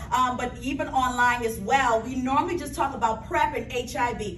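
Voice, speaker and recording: With a Bahamian accent, a woman speaks in a high pitch and an animated tone, amid noticeable background noise and audible room echo. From Bahamas. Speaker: pharmacist, health presenter. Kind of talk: health seminar presentation.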